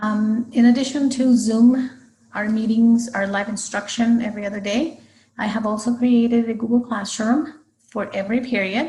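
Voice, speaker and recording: The tone is dark and mellow, with a Spanish accent. Delivery comes at a moderate pace with fairly even intonation. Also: woman, fairly high pitch for a woman. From Guatemala. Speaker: high school Spanish teacher. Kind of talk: recorded class presentation for parents. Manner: hesitant, frequent fillers.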